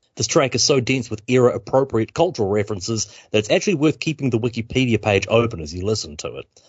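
A man talks at a very fast pace in a medium pitch, somewhat breathy, with lively intonation and big swings in loudness. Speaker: radio host. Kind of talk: scripted radio presenting. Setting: studio.

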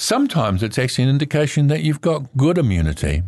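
A man with a New Zealand accent talks in a medium pitch. His voice makes very wide pitch swings. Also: quiet background. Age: 70s. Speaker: medical herbalist and naturopath. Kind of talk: radio talk on natural health. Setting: studio. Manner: hesitant, many fillers.

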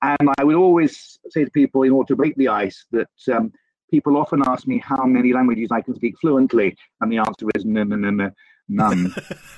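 A man speaks with a British accent at a medium pitch. His pace is fairly quick, with ordinary pitch variation. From UK. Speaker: remote worker for a polytechnic. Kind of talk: casual chat. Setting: remote call. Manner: stammers.

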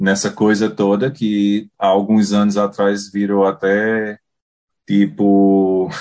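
A man with a northeastern Brazilian accent speaks at a very slow pace, with fairly low pitch and a dark, mellow tone. His intonation is fairly even, and the background is quiet. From Paraíba, Brazilian Northeast. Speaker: beekeeper. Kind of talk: casual interview.

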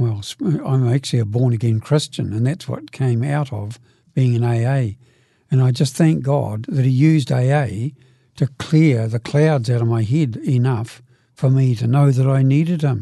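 A man speaks at a medium pitch in a dark, mellow tone that is somewhat breathy. He keeps a moderate pace with ordinary pitch variation. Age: 70s. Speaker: recovering alcoholic. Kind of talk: testimony.

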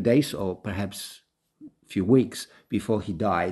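A man with a Polish accent and a dark, mellow tone at a very slow pace. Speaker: radio host. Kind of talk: casual radio chat.

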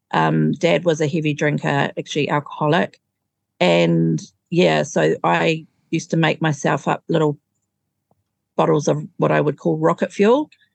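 A woman with a New Zealand accent at a moderate pace, in a dry, close sound with no echo. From New Zealand, Auckland. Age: 50s. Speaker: recovering alcoholic. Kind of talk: testimony.

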